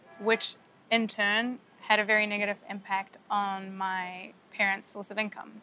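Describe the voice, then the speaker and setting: Music plays in the background as a woman speaks at a medium pitch. Her pace is fairly slow and her intonation monotone and flat. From Egypt (Cairo), then New Zealand from age ten. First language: Arabic and French. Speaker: opera singer. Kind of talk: documentary interview.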